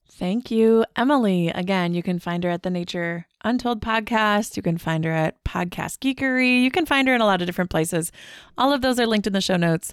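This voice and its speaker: A woman with an unremarkable speaking voice talks in an American accent at a medium pitch, her intonation lively. The recording is very clean and dry, close and without echo, with a silent background. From US Midwest, Wisconsin. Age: 40s. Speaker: podcast host. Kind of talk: interview conversation; scripted narration.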